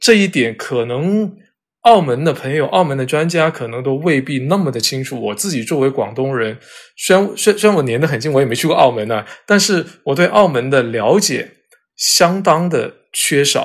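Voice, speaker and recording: A man with a plain, everyday voice, fairly high in pitch, lively intonation, at a moderate pace. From southern China, Cantonese-speaking area. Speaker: editor and character encoding expert. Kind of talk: interview. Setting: remote recording.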